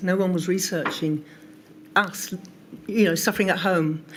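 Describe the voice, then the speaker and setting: A woman speaks in an unremarkable speaking voice at a medium pitch. Her pace is moderate. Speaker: patient advocacy group co-founder. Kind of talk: testimony at a public inquiry.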